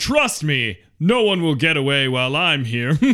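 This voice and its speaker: A man puts on a character voice pitched fairly high. He speaks at a moderate pace. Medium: actual play. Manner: angry, threatening, indignant.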